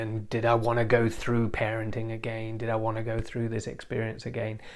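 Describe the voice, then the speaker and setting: Monotone, flat intonation comes through with audible room echo. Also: man. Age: 40s. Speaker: relationships and intimacy therapist, podcast host. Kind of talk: solo podcast monologue. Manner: halting, many repeated words.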